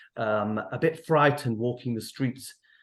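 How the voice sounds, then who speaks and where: A man with a Mancunian accent speaks at a medium pitch with ordinary pitch variation against a quiet background. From northern England, Manchester. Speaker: therapist. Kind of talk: online event talk. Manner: gentle, hesitant with fillers.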